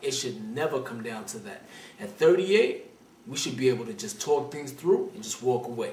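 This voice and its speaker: A man talks with a Brooklyn accent at a fairly quick pace. Room echo can be heard. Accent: New York (Brooklyn). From Brooklyn, New York. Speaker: call-in advice show host. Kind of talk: call-in advice show.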